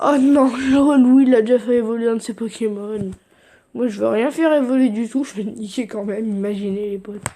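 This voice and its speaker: Fairly high in pitch, a woman speaks in a plain, everyday voice at a fairly quick pace. Her intonation is fairly even, though her loudness swings widely. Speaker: gaming youtuber. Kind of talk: gameplay commentary.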